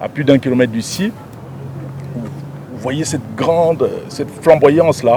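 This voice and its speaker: Amid noticeable background noise, a man speaks at a very slow pace. His fairly high voice has ordinary pitch variation. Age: 60s. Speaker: provincial governor. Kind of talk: press interview. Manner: halting, with frequent repetitions.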